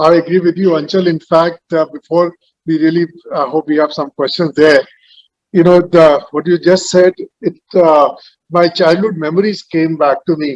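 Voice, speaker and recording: A man's high voice with fairly even intonation at a moderate pace, dry and close with no echo. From India, Uttar Pradesh (Meerut). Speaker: panel moderator. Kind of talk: panel discussion.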